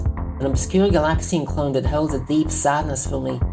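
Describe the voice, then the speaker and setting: The talking proceeds at a moderate speed while music sounds behind it. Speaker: artist and hobby video maker. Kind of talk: casual video game commentary.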